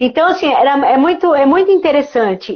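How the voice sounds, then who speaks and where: A woman speaks at a fairly quick pace. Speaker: psychologist. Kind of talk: casual interview on a live stream. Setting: online live stream. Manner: fast.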